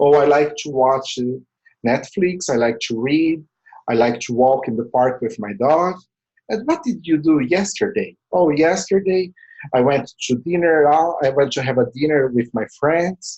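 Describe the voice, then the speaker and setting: A fairly high-pitched man speaks in a Portuguese accent. His pace is moderate and his intonation lively. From Brazil. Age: 40s. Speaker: language tutor. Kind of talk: tutorial.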